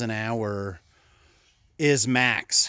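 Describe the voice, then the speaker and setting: A man's voice, dry and free of echo. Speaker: kayak fishing vlogger. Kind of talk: casual vlog talk. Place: garden. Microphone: phone near.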